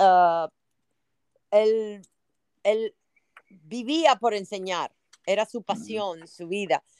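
A woman speaks at a fairly high pitch with ordinary pitch variation. The sound is dry and close, with no echo. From Cuba (Havana), raised in New Orleans. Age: 60s. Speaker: Spanish teacher. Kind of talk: interview.

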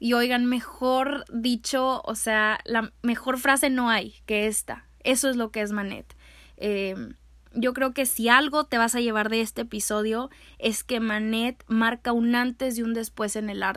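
Recorded very cleanly against a silent background, a woman with a fairly high pitch speaks at a fairly slow pace. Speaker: art history podcaster and youtuber. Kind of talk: casual educational monologue. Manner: loud; animated.

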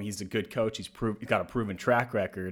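Over a silent background on a very clean recording, a man speaks at a very fast pace. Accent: American. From US South. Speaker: sports podcast host. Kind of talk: casual chat.

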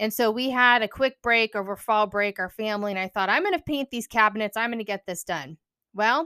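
With a bright, sharp tone, a woman speaks at a fairly quick pace in a fairly high pitch with ordinary pitch variation, the recording very clean with a silent background and a dry, close sound with no echo. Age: 40s. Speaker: podcast host and counselor. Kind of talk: casual monologue.

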